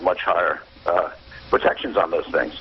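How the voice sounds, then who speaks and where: With an American accent, a man talks very fast against noticeable background noise. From New York. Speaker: negotiation expert. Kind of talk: radio interview. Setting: phone call.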